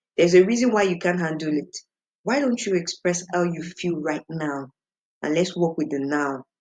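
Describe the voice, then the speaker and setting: Speaking with a Nigerian accent, a woman uses a fairly low pitch, ordinary pitch variation and a moderate pace. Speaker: singer. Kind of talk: interview. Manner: animated.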